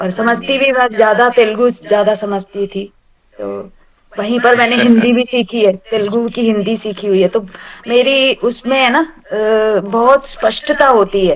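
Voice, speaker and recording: Her voice sits fairly high, with a slight South Indian accent. This woman's pitch varies in an ordinary way. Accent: slight South Indian accent in Hindi. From South India, Andhra Pradesh. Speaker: retired banker, Sanskrit course student. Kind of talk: casual self-introduction in online class. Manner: halting, with fillers.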